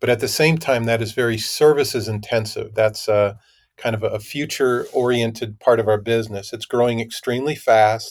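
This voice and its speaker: A man with an American accent talks at a fairly quick pace, medium pitch and fairly even intonation, in an unremarkable speaking voice. The recording is very clean with a silent background. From US Midwest, Minnesota. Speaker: tech company CEO. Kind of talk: interview.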